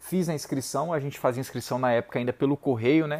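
The sound is dry and close with no echo as a man talks at a fairly high pitch. His is an unremarkable speaking voice with ordinary pitch variation. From Brazil, Ceará interior (Saboeiro). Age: 30s. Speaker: lawyer and teacher. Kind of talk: motivational talk.

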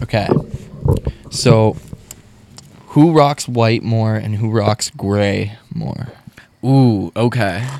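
Speech comes at a very slow pace, broken by long, frequent pauses, and the pitch varies in an ordinary way. Noticeable background noise sits behind it. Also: man, medium pitch for a man. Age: 20s. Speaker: musician and radio host. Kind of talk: casual chat.

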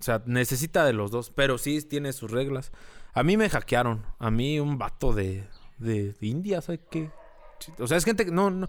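A man with a rural Mexican accent talks at a moderate pace, medium in pitch, with lively intonation. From rural Mexico. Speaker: social media page creator, former radio host. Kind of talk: casual chat.

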